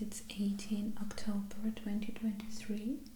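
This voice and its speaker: Whispering and soft-spoken, a woman talks at a fairly slow pace against noticeable background noise. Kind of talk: ASMR sketchbook explanation, casual talk to camera. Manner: soft-spoken, whispery.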